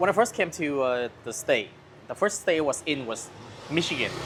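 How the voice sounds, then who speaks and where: Over noticeable background noise, a man with a fairly high-pitched voice speaks at a fairly quick pace with lively intonation. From Vietnam, then US Midwest and South. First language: Vietnamese. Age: 30s. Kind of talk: casual chat. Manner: animated.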